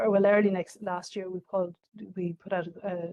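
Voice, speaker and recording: Dark and mellow, a woman's medium-pitched voice carries an Irish accent and a monotone, flat intonation. The sound is dry and close, with no echo. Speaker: government official presenting a scheme. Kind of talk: information session presentation. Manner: fast; halting, many fillers.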